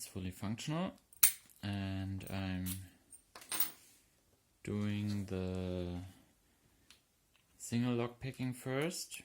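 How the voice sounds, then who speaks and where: The speech comes at a very slow pace in a German accent. Long, frequent pauses break it up. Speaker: hobby lockpicker. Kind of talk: casual tutorial talk to camera.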